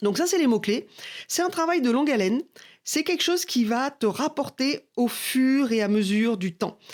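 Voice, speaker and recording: Speaking at a moderate pace, a woman uses a high pitch with very wide pitch swings and very even loudness in a very clean recording with a silent background. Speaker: marketing coach. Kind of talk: tutorial.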